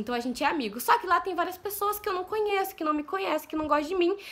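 A woman's voice is raised and projected. Its tone is bright and sharp, with lively intonation. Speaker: vlogger. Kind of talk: casual talk to camera. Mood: affectionate, enthusiastic. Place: home room. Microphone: phone near.

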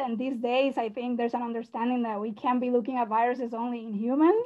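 A woman with a high pitch. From Puerto Rico. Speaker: research scientist. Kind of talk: testimony speech.

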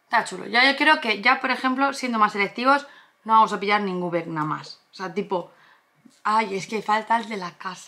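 A plain, everyday voice at a moderate pace, with ordinary pitch variation and big swings in loudness. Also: woman, fairly high pitch for a woman. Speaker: YouTuber, collectibles channel co-host. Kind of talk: casual unboxing chat.

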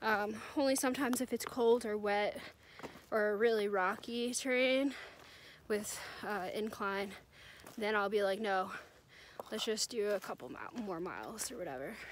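A woman's fairly high voice with an American accent, moderate pace, ordinary pitch variation and long, frequent pauses, in a dry sound with no echo over light background noise. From New Jersey. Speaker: thru-hiker vlogger. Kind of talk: casual vlog narration. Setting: outdoors on hiking trail. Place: forest. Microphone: phone near.

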